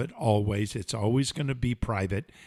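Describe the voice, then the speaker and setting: Moderate-paced male speech on a very clean recording, background silent. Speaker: podcast host. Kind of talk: casual chat. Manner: loud.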